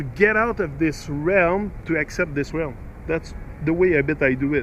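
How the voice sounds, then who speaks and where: Someone speaks with a Quebec accent and ordinary pitch variation. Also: man. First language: French. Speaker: video blogger. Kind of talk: casual chat. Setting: outdoors. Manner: halting.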